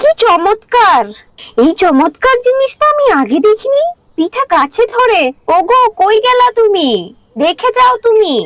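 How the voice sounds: A woman does a cartoonish character voice at an extremely high pitch with big pitch swings, speaking at a fairly slow pace in a dry, close sound with no echo. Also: fairly bright tone.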